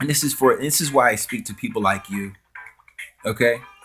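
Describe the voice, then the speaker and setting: With music in the background, a man talks at a moderate pace and a fairly high pitch. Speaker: vlogger. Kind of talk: direct-to-camera vlog rant. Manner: halting, repetitive.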